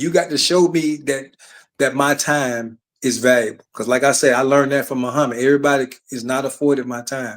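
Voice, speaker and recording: Here is a man with an Alabama accent at a fairly quick pace. His intonation stays fairly even. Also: fairly high pitch for a man. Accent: Southern US (Alabama). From Alabama, US South. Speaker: retired army sergeant and author. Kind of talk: casual chat.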